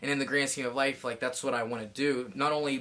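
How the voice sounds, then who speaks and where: A man speaking at a fairly quick pace over noticeable background noise. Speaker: fitness athlete and coach vlogger. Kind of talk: casual vlog monologue. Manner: fast; animated.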